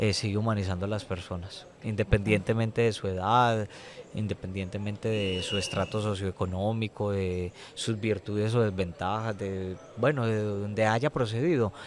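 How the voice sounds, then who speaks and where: In an ordinary speaking voice, a man talks at a moderate pace, his pitch fairly low. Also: fairly even intonation. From Colombia, Medellín. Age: young. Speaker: prison inmate and former teacher. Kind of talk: testimony interview.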